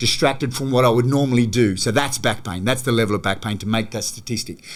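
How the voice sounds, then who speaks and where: A man with an Australian accent speaks at a very fast pace in an animated tone. His medium pitch shows ordinary variation. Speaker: gym manager and movement coach. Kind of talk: podcast interview. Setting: studio, in person.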